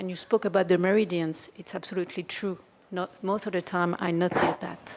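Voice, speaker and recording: A woman with a French accent speaks at medium pitch. Her pace is moderate and her intonation fairly even. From France. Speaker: audience member, kinesiologist. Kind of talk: audience question. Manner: halting.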